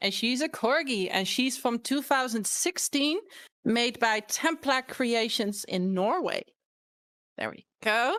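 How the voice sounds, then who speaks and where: Her high voice moves with lively intonation as the woman talks at a fairly slow pace. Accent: Dutch. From Netherlands. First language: Dutch. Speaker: fursuiter, panel guest. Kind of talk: panel talk. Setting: live online convention panel.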